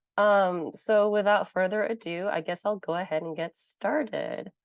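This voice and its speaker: A woman with a medium pitch talks very slowly, her pitch varying in an ordinary way. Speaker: conference speaker. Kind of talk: lecture. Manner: hesitant, many fillers.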